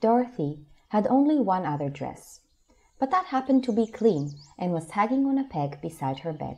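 Calm and gentle, a woman's somewhat breathy voice with a dark, mellow tone moves through very wide pitch swings. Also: medium pitch for a woman, moderate pace. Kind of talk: audiobook narration, read-aloud storybook. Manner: calm, even storyteller pacing, gentle and expressive.

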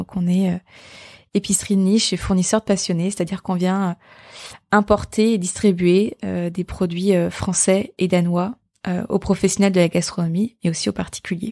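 A woman of medium pitch speaks at a moderate pace in a dark, mellow, monotone voice, recorded dry and close with no echo and a silent, very clean background. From Brittany, France. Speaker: entrepreneur and podcast host. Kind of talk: solo podcast monologue. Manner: hesitant, many fillers and repetitions.

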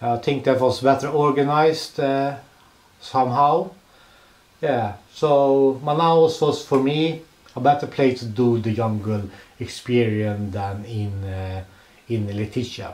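At a very slow pace with long, frequent pauses, a man with a Swedish accent and ordinary pitch variation speaks amid audible room echo. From Sweden. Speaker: travel vlogger. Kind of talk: travel vlog narration. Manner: halting. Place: home room. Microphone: handheld.

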